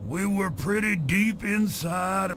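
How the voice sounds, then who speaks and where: Someone puts on a character voice over clear background noise. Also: man. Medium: video game. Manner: rambling, wry.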